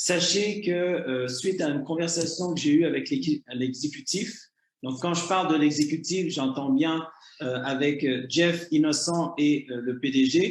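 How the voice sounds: Speaking at a moderate pace with a Canadian French accent, a man uses a fairly high pitch and ordinary pitch variation amid audible room echo.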